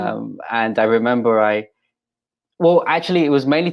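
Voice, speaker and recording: This is a man speaking. He has an English accent. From England. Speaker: pastor. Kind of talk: interview. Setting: video recording. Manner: halting, with fillers.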